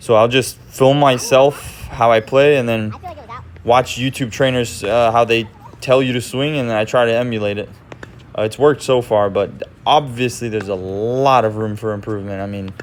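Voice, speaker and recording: A man speaks at a moderate pace in a medium pitch with fairly even intonation. Noticeable background noise runs under his voice. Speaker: phone reseller vlogger. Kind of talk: voice-over narration. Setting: recorded voice-over on microphone. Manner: monotone.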